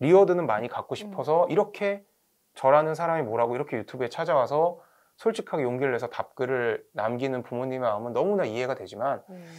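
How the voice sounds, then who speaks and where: Very fast speech with lively intonation and big swings in loudness, over a quiet background. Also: man, fairly high pitch for a man. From South Korea. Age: 40s. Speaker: academy director and education YouTuber; guest. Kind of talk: interview. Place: studio. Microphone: lapel.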